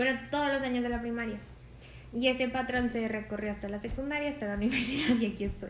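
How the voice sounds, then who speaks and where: A woman with a high pitch talks at a very fast pace in fairly even intonation, with audible room echo and noticeable background noise. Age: 20s. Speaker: podcast co-host. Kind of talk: casual chat.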